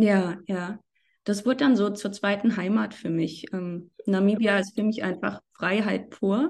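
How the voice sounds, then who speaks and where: Against a quiet background, a woman speaks in a plain, everyday voice at a fairly slow pace. Her pitch is medium, with ordinary variation. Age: 30s. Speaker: freelance journalist. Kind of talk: podcast interview.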